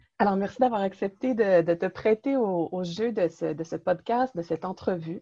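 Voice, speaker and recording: Against a quiet background, a woman with a Quebec accent speaks at a moderate pace with hardly any pauses, her dark, mellow tone at medium pitch with ordinary variation, the sound dry and close with no echo. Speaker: religious organization director, interviewer. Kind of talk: interview. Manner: hesitant.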